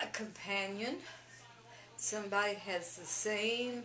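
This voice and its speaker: A woman at a medium pitch and a very slow pace, over noticeable background noise. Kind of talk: casual conversational advice.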